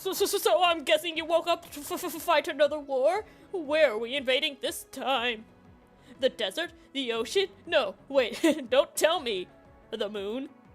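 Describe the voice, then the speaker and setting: Over faint background music, a woman talks at a fairly slow pace in a put-on character voice. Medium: game stream. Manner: casual, eager, excitable.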